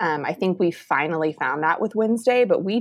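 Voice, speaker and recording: A woman speaks at a moderate pace with lively intonation in a normal speaking voice. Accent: American. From Texas, Round Rock near Austin. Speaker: city communications and marketing specialist. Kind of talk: casual chat.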